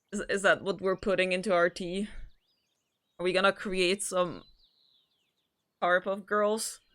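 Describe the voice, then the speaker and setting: With a non-native accent, the speaker talks at a moderate pace in a monotone, flat intonation, pausing long and often, in a very clean recording with a silent background. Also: woman, medium pitch for a woman. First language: not English. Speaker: vtuber streamer. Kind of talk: casual livestream chat and reading a visual novel aloud. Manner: halting, frequent stammered repeats.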